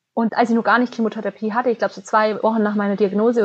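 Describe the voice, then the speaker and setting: Over a quiet background, a woman with a fairly high voice talks at a very fast pace in monotone, flat intonation. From Bavarian Swabia, southern Germany. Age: 20s. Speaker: business student and cancer patient. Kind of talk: interview, personal testimony.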